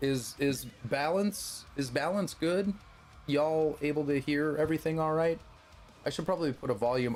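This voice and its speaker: A man's lively intonation carries at a moderate pace while music sits in the background. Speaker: streamer. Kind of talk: casual chat.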